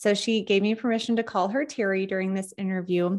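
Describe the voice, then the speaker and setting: A woman's voice shows ordinary pitch variation. The background is quiet. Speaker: podcast host. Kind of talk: podcast intro. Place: home room.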